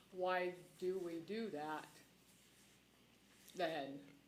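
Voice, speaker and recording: There is audible room echo as a woman speaks at a very slow pace. Her medium pitch carries fairly even intonation. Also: long, frequent pauses. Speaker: county commissioner. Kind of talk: public meeting discussion. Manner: halting.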